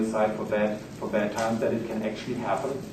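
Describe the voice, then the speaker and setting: Noticeable background noise and audible room echo surround a man with a German accent who talks at a fairly quick pace and a medium pitch. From Germany. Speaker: finance lecturer. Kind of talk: lecture.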